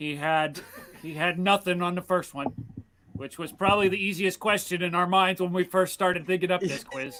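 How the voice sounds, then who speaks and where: Noticeable background noise sits under a man speaking with an American accent. His voice is high-pitched, at a moderate pace with fairly even intonation. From Pennsylvania. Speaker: podcast co-host. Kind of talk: casual chat.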